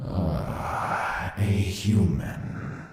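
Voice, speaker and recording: A man puts on a character voice, his pitch fairly low. Strong echo surrounds it. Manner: scoffing, creepy.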